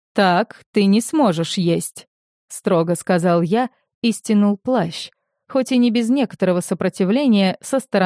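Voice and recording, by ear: Reading aloud in a natural voice, with a quiet background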